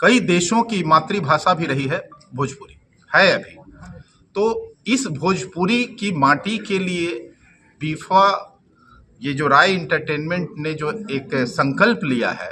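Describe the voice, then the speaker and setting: With a Bihari accent, a man talks at a high pitch with lively intonation. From Bhojpur region, Bihar. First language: Bhojpuri (speaking Hindi). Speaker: politician. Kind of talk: press conference statement.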